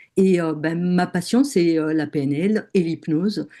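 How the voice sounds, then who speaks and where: This is a woman with a dark, mellow tone. Nothing stirs behind her. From southern France. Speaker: NLP and hypnosis trainer. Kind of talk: webinar conversation. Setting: online webinar. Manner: hesitant, many fillers.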